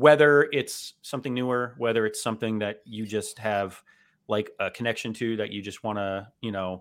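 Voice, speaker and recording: This is an unremarkable speaking voice with an American accent. The pace is moderate and the pitch varies in an ordinary way. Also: man. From South Florida. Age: 30s. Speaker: podcast host and author. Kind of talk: casual interview chat. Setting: video call.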